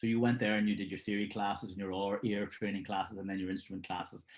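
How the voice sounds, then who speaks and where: This man has a Belfast accent and a fairly low pitch. His intonation is fairly even. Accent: Belfast, Northern Irish. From Northern Ireland, Belfast. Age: 60s. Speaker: session drummer. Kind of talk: interview. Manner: halting, many fillers.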